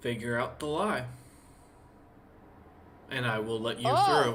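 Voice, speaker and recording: Fairly slow, low-to-middle-pitched delivery in a put-on character voice. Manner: looking down, imposing.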